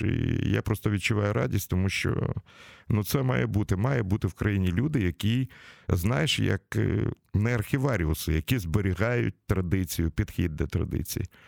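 A man with a fairly low pitch and vocal fry speaks at a moderate pace with lively intonation. The recording is very clean and dry, close with no echo, against a silent background. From Ukraine, Kyiv. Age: 60s. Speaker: radio host. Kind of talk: casual interview. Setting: studio.

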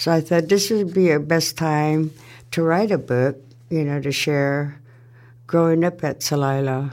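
A woman with an American accent speaks at a fairly slow pace. Her pitch is very deep and low, with ordinary variation. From Warm Springs, Oregon. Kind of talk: elder life story told in warm, personal recollection. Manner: unhurried, conversational, reflective.

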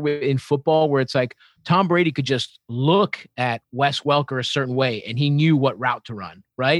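A man's plain, everyday voice, fairly high in pitch, with ordinary pitch variation and a dry, close sound with no echo. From Baltimore, US. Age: 30s. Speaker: comedian. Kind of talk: casual chat.

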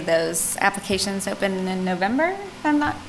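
Music is audible in the background. A woman's voice carries a medium pitch. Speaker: commission member. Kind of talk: formal meeting discussion.

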